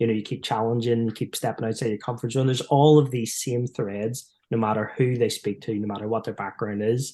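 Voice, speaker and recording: Speaking in an Irish accent, a man holds a monotone, flat intonation at a medium pitch with hardly any pauses against a quiet background. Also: fairly quick pace. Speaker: performance psychologist, former footballer. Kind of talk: podcast interview.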